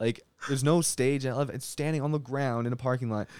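The speaker is a man at a moderate pace. His intonation is monotone and flat. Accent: Canadian. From Canada, Winnipeg. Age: 20s. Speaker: comedian. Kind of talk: casual chat. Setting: home studio in a basement.

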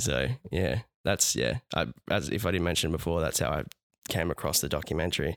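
A man's very deep, low voice with vocal fry, very even loudness and a fairly quick pace. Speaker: podcast co-host. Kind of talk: casual chat. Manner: halting. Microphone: new studio microphone.

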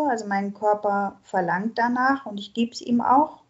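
A woman's fairly high voice, fairly slow, with fairly even intonation. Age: 40s. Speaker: recovering alcoholic sharing her story. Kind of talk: interview. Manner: halting, many fillers.

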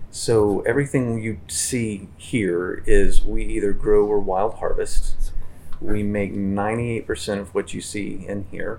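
Through noticeable background noise, a man speaks at a very slow pace with big swings in loudness. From southern Appalachia, north Georgia. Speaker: herbalist and shop owner. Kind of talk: casual interview. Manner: halting, with frequent fillers.

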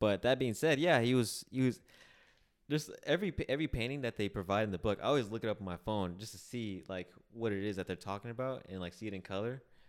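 A man speaks at medium pitch with lively intonation and a very fast pace. The recording is very clean, with a silent background. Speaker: podcast co-host. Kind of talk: casual chat. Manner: heavy breathing into mic.

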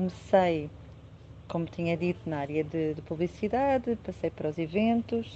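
Lively intonation marks a woman's dark, mellow voice, fairly low in pitch and at a moderate pace. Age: 40s. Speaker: real estate agent. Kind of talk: interview. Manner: halting.

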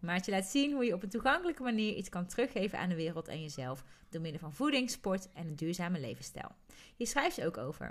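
A woman talks at a very fast pace, at medium pitch. Her pitch swings very widely. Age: 30s. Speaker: podcast co-host, coach and trainer. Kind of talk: casual chat.

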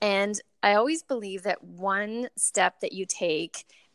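A woman with an ordinary speaking voice, pitched in the middle range, talks at a fairly slow pace. The sound is dry and close with no echo, on a very clean recording with a silent background. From Canada, moved around as military child. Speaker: plant-based cafe co-owner. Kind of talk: interview conversation.

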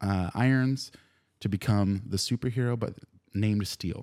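On a very clean recording with a silent background, a man uses a plain, everyday voice at a fairly low pitch, moderate pace and ordinary pitch variation. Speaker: podcast co-host. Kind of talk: casual chat. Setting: studio. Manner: joking, swears often.

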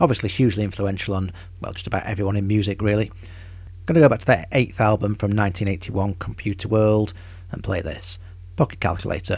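A man speaks at a fairly low pitch and a fairly quick pace. His voice is somewhat breathy, with a relaxed tone. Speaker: radio host. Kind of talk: radio dj patter. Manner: relaxed, conversational, informal.

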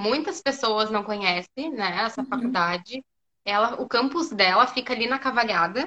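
This woman has an unremarkable speaking voice with a fairly high pitch. She talks at a moderate pace with lively intonation. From southern Brazil, Porto Alegre. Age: 20s. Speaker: physiotherapy student. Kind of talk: casual interview on a live stream.

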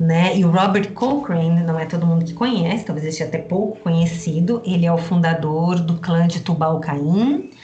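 A woman with a fairly low voice speaks at a fairly slow pace. Room echo is audible, and there is noticeable background noise. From Rio Grande do Sul, Brazil. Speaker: astrologer and magic teacher. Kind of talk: interview.

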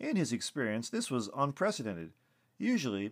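The voice is a natural reading voice.

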